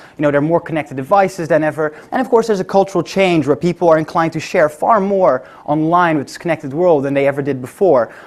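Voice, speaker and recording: Barely pausing, a man talks at a very fast pace and fairly high pitch with ordinary pitch variation. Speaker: tech company presenter. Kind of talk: conference talk.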